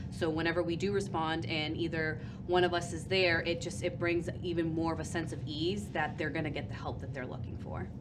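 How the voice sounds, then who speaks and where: A woman's very deep, low voice with lively intonation and hardly any pauses, amid audible room echo and noticeable background noise. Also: fairly quick pace. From Portuguese family, US. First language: Portuguese. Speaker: family services worker. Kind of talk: interview.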